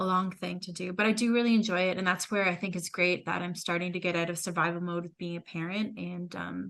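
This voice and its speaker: At a very fast pace, a woman talks in a fairly low pitch. Her intonation stays monotone and flat. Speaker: podcast co-host. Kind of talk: casual chat. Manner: loud.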